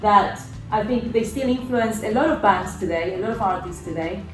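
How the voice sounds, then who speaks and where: With a Spanish accent, a woman speaks with ordinary pitch variation over noticeable background noise and audible room echo. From Argentina. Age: 40s. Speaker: synth-pop musician. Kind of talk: interview.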